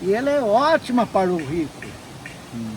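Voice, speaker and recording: A man is speaking. Music plays in the background. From Minas Gerais, Brazil. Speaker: businessman and writer. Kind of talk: interview answer.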